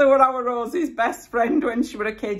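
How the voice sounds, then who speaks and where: Speaking at a moderate pace, a woman talks in a Yorkshire accent. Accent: broad Yorkshire. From Yorkshire, Bradford area. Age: 50s. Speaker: YouTuber. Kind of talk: casual chat.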